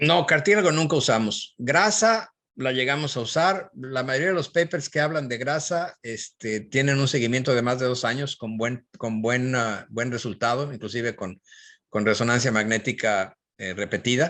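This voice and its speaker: A man's medium-pitched voice, bright and sharp, with lively intonation at a moderate pace over a quiet background. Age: 60s. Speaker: physician and professor. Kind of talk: Q&A after a lecture.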